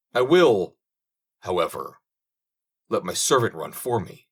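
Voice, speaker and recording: Using a raspy, put-on character voice, a man speaks at a moderate pace and medium pitch. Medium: read story. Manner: brisk, encouraging.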